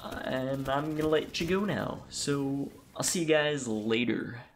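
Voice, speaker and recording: Speech comes at a fairly slow pace while noticeable background noise continues underneath. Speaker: gaming youtuber. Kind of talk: casual vlog monologue.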